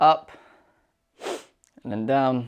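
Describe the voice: A clear, smooth tone at a very slow pace, with ordinary pitch variation. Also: man, medium pitch for a man.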